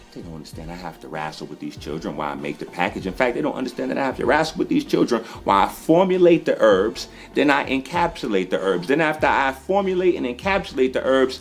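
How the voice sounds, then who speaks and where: Over noticeable background noise, a man with an American accent speaks in an animated tone at a very fast pace with hardly any pauses and big swings in loudness. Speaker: holistic healer. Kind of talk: casual video monologue.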